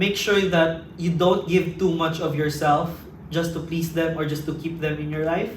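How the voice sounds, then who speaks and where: Over noticeable background noise and audible room echo, a man talks at a fairly slow pace in a high pitch with monotone, flat intonation. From Philippines. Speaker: international student. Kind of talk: casual interview. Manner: halting.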